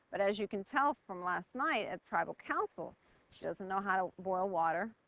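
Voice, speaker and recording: Speaking with an American accent, a woman uses a medium pitch at a fairly slow pace. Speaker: reality show contestant. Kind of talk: interview. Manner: loud.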